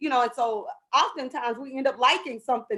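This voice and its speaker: At a fairly quick pace, a woman talks in an animated tone and a high pitch. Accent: American. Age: 40s. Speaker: vegan food business owner and author. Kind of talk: panel discussion.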